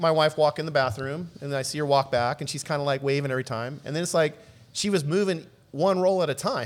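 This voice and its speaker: With an American accent, a man speaks in a normal speaking voice at a fairly high pitch and fairly quick pace. His pitch variation is ordinary, and the recording is very clean with a silent background. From Southern California, South Bay (Los Angeles). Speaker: video producer. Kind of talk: casual chat.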